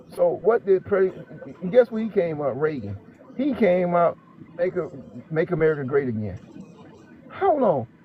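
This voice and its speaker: A man's high voice with very wide pitch swings and long, frequent pauses, over noticeable background noise. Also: moderate pace. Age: 60s. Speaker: channel host. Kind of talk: casual chat. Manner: halting.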